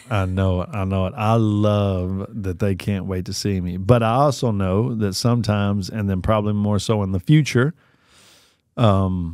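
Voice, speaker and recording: A man talks at a moderate pace with fairly even intonation, the sound dry with no echo and the background quiet. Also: fairly low pitch for a man. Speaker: podcast co-host. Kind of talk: casual podcast conversation. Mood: warm, reflective. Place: studio. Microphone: studio mic.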